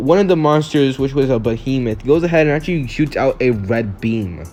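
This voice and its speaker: A man's fairly high voice at a very fast pace, with ordinary pitch variation and music in the background. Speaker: YouTube fan-fiction storyteller. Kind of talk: improvised story narration. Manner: halting, stumbles over words; casual, filler-heavy.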